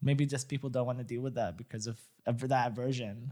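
A man talks in an ordinary speaking voice at a medium pitch, moving at a fairly quick pace with fairly even intonation. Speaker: podcast co-host. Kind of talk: casual chat.

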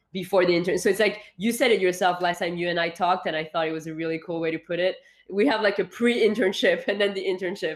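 A woman with a French accent talks at a very fast pace with hardly any pauses. Her medium pitch shows ordinary variation. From France, Paris. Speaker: founder and CEO of an internship program. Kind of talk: interview. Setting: remote call.

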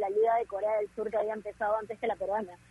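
Her fairly high voice racing at a very fast pace, a woman speaks. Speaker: sports radio co-host. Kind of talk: casual chat.

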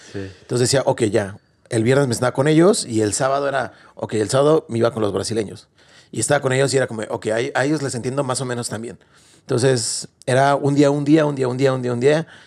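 The man's medium-pitched voice rushes at a very fast pace, with ordinary pitch variation. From Mexico. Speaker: podcast host. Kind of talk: casual interview.

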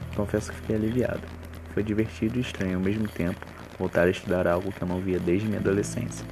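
Music plays in the background as the speaker talks at a very fast pace with lively intonation. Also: man, very deep, low pitch for a man. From Rio de Janeiro, west zone. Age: 20s. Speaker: university student. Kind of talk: scripted narration.

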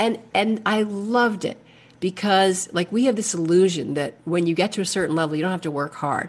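A woman talks at a fairly quick pace in a plain, everyday voice, with medium pitch and an American accent. Her intonation is lively, and the background is quiet. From New York City (Manhattan). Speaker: actress and comedian. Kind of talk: casual chat.

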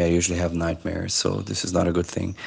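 Speaking in a Portuguese accent, this man has a very deep, low pitch. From Brazil. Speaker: podcast co-host, language teacher. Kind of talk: casual chat.

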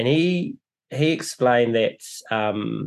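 Man with a New Zealand accent, medium pitch and ordinary pitch variation over a quiet background. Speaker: podcast host. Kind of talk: casual interview.

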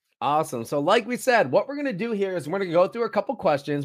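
At a very fast pace and with lively intonation, the voice comes through on a very clean recording with a silent background. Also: man. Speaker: interviewer. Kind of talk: casual interview.

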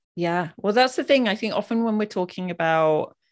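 Against a quiet background, a woman with a medium pitch speaks in an unremarkable speaking voice with lively intonation. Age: 40s. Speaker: hormone health author and doula. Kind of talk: casual interview chat. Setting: video call.

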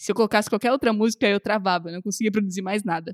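A man's high-pitched voice, with fairly even intonation, comes through dry and close with no echo. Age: 20s. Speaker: podcast host. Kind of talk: casual chat.

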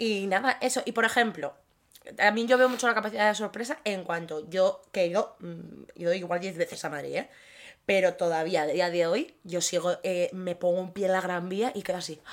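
This woman has a normal speaking voice, with medium pitch, ordinary pitch variation and a moderate pace. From Asturias, Spain (Gijón). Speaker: podcast co-host. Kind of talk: casual chat.

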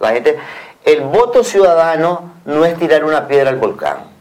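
Noticeable background noise sits behind this voice. A man talks at a moderate pace with a fairly high pitch. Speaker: opposition party official. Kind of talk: TV interview.

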